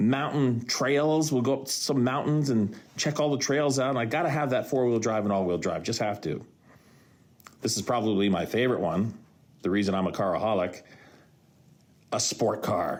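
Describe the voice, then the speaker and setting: The man's tone is animated, his loudness very even, and his pace moderate. Long pauses come often, and room echo can be heard. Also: medium pitch for a man, lively intonation. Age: 60s. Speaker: podcast host and radio broadcaster. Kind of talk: solo podcast monologue.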